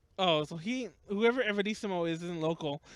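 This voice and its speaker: A man's high voice in a Los Angeles accent, very clean with a silent background and a dry, close sound with no echo. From Los Angeles, US West Coast. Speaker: podcast host. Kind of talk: casual chat. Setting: live stream. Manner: fast. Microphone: audio mix issue.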